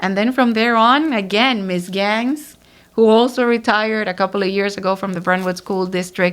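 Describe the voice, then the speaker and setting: In a very clean recording with a silent background, a woman speaks with a Spanish accent and fairly even intonation. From Dominican Republic, San Pedro de Macorís. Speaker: writer and community figure. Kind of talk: interview. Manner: hesitant with fillers.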